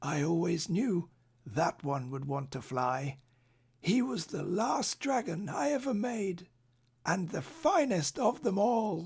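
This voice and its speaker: Putting on a raspy character voice, a man talks at a fairly slow pace, pitched high with very wide swings in pitch. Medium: read story.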